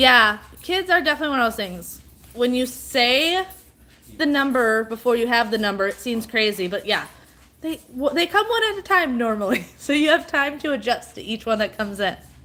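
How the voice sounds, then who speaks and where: Loud and fairly quick, a woman with a high pitch speaks with very wide pitch swings against noticeable background noise. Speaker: livestreamer and mom. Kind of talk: casual live stream chat. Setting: at home live stream.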